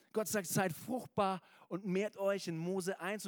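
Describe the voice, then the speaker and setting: Pitched high for a man, his voice has an animated tone and a moderate pace. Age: 30s. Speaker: preacher. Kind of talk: sermon. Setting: church.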